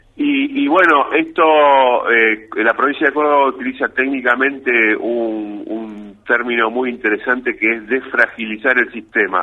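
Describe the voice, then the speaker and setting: In an unremarkable speaking voice, a man talks at a fairly slow pace and medium pitch with hardly any pauses and ordinary pitch variation. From Argentina, Rafaela (Santa Fe). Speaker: engineer. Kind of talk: radio interview.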